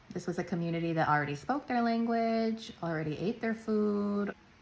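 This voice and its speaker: A woman with a Chicago accent talks at a fairly quick pace. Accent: Chicago American English. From US Midwest, Chicago (Polish neighborhood). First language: Polish. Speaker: travel vlogger. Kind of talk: casual explainer monologue.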